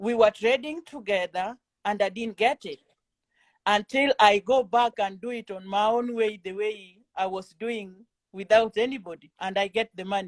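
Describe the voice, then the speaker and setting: With a Kenyan accent and a fairly high pitch, a woman speaks with big swings in loudness, in a dry, close sound with no echo. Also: ordinary pitch variation, moderate pace. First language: Kenyan mother tongue and Swahili. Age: 40s. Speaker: trading student. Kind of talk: interview. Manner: halting.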